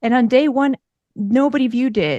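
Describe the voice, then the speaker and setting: Speaking with an American accent, a woman uses ordinary pitch variation. The sound is dry and close with no echo, and the background is quiet. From Russia, moved to US as a child. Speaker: podcaster. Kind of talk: interview. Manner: fast.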